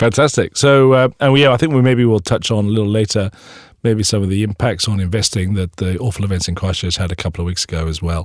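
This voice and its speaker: Words pour out very fast, and the pitch varies in an ordinary way. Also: man, fairly low pitch for a man. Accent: Welsh. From Wales. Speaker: podcast host, bank investment staff. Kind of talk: casual podcast chat. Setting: studio.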